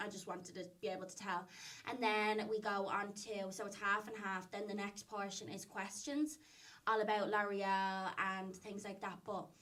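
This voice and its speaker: A woman with an Irish accent, medium in pitch, bright and sharp in tone, flat and monotone in intonation, at a moderate pace. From Ireland. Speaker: social media influencer. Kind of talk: podcast interview answer.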